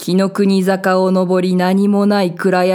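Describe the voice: This is plain reading aloud. The words are read out in that manner.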